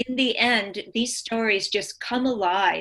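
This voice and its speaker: A woman's normal speaking voice, fairly high in pitch, at a fairly slow pace with fairly even intonation. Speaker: guest, story scholar. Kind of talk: casual discussion and interview. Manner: thoughtful, relaxed, frequent 'mm-hmm' backchannels.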